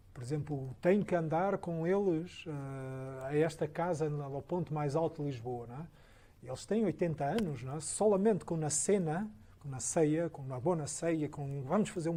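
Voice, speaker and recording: Fairly high male voice with a dark, mellow tone and big swings in loudness. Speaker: architect. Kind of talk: Q&A after a lecture. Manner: halting, many repetitions.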